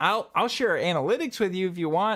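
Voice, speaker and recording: On a very clean recording with a silent background, a man with an American accent speaks in a high voice with lively intonation. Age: 20s. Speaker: YouTube video editing tutor. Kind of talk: live stream Q&A chat. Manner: casual, many fillers.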